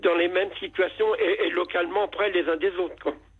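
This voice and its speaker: A man talks fairly quickly with ordinary pitch variation, and noticeable background noise runs behind him. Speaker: caller. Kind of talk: testimony. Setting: phone call.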